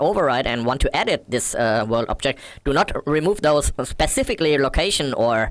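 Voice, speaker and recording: At a moderate pace, a man with a fairly high pitch and a non-native accent speaks with ordinary pitch variation on a very clean recording with a silent background. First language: not English. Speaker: modding tutorial creator. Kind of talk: tutorial. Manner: halting, many fillers.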